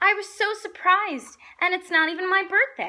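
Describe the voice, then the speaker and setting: In a put-on character voice, a woman speaks at an extremely high, squeaky pitch and a moderate pace. Her voice is raised and projected. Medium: read story.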